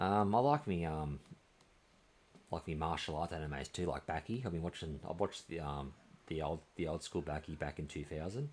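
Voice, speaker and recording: An Australian-accented man talks at a fairly quick pace with a very deep, low pitch. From Australia, New South Wales. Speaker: video game streamer. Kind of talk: live gameplay stream chat. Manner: casual, hesitant with many fillers. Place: home room.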